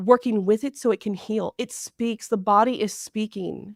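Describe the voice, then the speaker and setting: An animated woman's voice, fairly high in pitch, at a moderate pace. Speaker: naturopathic doctor. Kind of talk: interview. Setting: podcast interview. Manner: loud.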